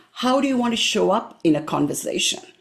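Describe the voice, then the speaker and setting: Very wide pitch swings and vocal fry mark this woman's voice. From India. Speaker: career coach, public speaker. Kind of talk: live presentation to a professional group.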